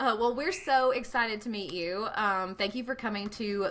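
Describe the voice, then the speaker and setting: A woman in a Southern US accent speaks at a moderate pace with a bright, sharp tone. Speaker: podcast co-host. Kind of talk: casual chat.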